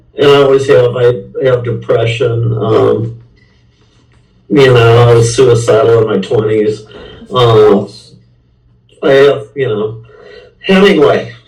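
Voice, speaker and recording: A man with an American accent speaks at a very slow pace, leaving long, frequent pauses. His pitch varies in an ordinary way, and the room echo is audible. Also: medium pitch for a man. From US Midwest, St. Louis. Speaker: rock musician. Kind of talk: interview. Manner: halting.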